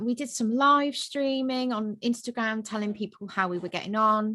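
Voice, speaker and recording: A woman speaks in a British accent with a bright, sharp tone and lively intonation. Her fairly high pitch moves at a moderate pace. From UK. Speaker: vegan family content creator, mother. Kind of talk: casual interview chat.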